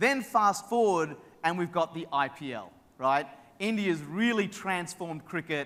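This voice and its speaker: A man with an Australian accent talks in a high, bright, sharp voice. His pace is moderate and his intonation lively. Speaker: tech company executive. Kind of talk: conference keynote. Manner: casual, filler-heavy.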